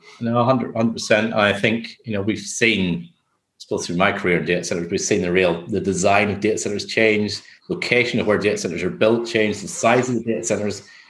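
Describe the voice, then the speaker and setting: A man with a Northern Irish accent, fairly low pitch and a fairly quick pace against a quiet background. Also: fairly even intonation. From Northern Ireland. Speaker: construction business development director. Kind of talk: interview.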